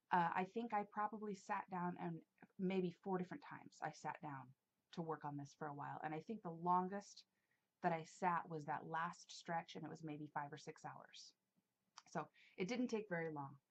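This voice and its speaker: This woman's voice sits fairly low, moving at a moderate pace with ordinary pitch variation. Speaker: craft video blogger. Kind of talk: casual chat. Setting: hot room, solo video. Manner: animated.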